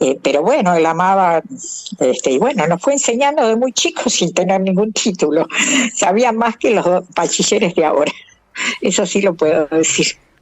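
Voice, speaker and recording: Very wide pitch swings mark the speech, delivered at a moderate pace and very even loudness. Noticeable background noise runs underneath. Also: woman, medium pitch for a woman. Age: 70s. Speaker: retired math professor. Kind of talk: interview.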